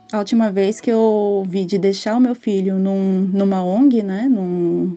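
Over a quiet background, a woman speaks at a medium pitch with ordinary pitch variation and a dark, mellow tone. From Brazil. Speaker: guest, mother on maternity leave. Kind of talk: interview testimony.

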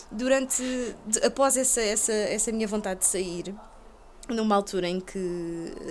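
She has a plain, everyday voice with ordinary pitch variation. The woman talks at a fairly slow pace. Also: fairly high pitch for a woman. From Portugal, Lisbon (Chelas). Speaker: video game journalist. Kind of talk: casual chat.

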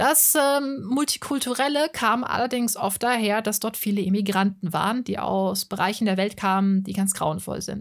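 A woman with a plain, everyday voice talks at a moderate pace and medium pitch, with ordinary pitch variation and hardly any pauses. The recording is very clean, with a silent background. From Hesse, Germany (Offenbach am Main). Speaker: podcaster and art channel creator. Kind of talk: monologue podcast.

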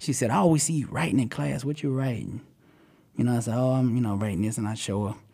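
Lively intonation marks this man's medium-pitched voice, spoken with an American accent. The recording is very clean with a silent background. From Alabama, then Dallas and Florida. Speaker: preacher and music artist, author. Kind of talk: interview chat.

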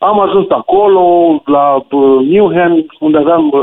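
A man with a normal speaking voice talks at a fairly high pitch, using ordinary pitch variation. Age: 40s. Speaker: radio caller. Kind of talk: phone-in anecdote.

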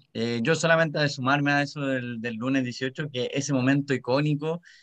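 Against a quiet background, a man with a Chilean accent speaks at a medium pitch with fairly even intonation. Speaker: podcast co-host, volunteer. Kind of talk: casual chat.

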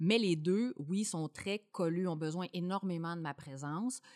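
At a moderate pace, a woman with a fairly low pitch and ordinary pitch variation is heard in a dry, close sound with no echo. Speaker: mother, employee of small content company. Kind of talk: casual chat.

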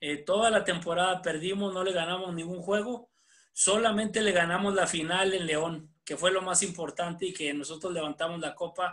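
This man's pitch is high. His intonation stays fairly even. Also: moderate pace. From Mexico, Chihuahua (Ciudad Camargo). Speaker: basketball coach. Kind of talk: interview. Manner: halting, many repetitions.

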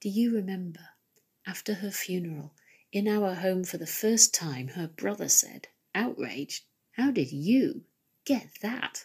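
Her voice is medium in pitch and somewhat breathy as this woman talks at a fairly slow pace with lively intonation. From Nottingham, England. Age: 50s. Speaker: poet. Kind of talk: poetry reading.

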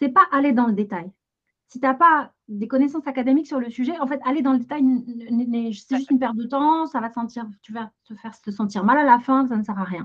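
Her loudness swings widely as a woman talks at a fairly quick pace. Her pitch is high. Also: ordinary pitch variation. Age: 40s. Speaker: financial education entrepreneur. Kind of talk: interview. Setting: video call.

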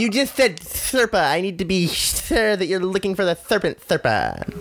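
At a moderate pace, a female-sounding voice of medium pitch performs a put-on character voice with hissing.

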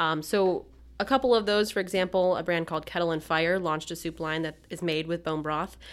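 A woman with a normal speaking voice, fairly low-pitched, at a fairly quick pace with ordinary pitch variation, on a very clean recording with a silent background. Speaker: magazine editor. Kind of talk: casual chat.

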